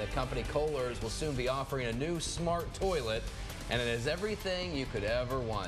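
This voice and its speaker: A man talks at a moderate pace. Music can be heard in the background. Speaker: TV news anchor. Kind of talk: TV news anchor read.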